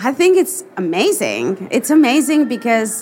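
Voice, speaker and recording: This is a woman speaking. She has a Mexican accent. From Mexico. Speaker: portrait photographer. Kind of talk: live interview. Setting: stage with audience.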